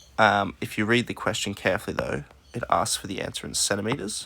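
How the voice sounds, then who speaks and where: The pace is moderate, with ordinary pitch variation. Noticeable background noise sits behind the voice. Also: man. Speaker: maths teacher. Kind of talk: recorded maths lesson, working through a practice test. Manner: low energy.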